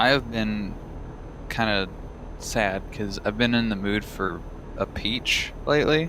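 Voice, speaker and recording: Speaking at a fairly slow pace with long, frequent pauses, the voice carries a slight Texan accent, a bright, sharp tone and ordinary pitch variation amid audible room echo. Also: man, fairly low pitch for a man. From Texas. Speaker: gamer. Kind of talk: casual chat. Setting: live stream.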